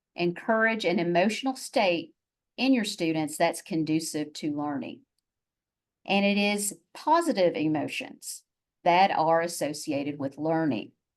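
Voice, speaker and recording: A woman's fairly low-pitched voice with a Southern US accent, over a quiet background. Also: lively intonation, fairly slow pace. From US South, Chattanooga, Tennessee. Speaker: university faculty member, presenter. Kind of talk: webinar presentation.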